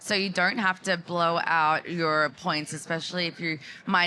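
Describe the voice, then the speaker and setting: With an Australian accent, a woman talks fairly slowly in a fairly low, bright, sharp voice with monotone, flat intonation. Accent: thick Australian. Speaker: marketing executive. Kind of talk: conference panel talk. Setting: live stage at trade event.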